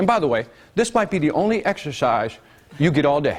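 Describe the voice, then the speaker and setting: A man speaks in an animated tone with very wide pitch swings, and noticeable background noise sits behind him. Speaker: business seminar speaker. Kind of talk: live seminar presentation. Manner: fast; animated, interactive.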